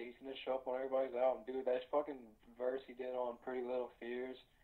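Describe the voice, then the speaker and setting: A man speaks at a medium pitch and a fairly quick pace. He has an ordinary speaking voice. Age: 20s. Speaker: podcast co-host. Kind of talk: casual chat.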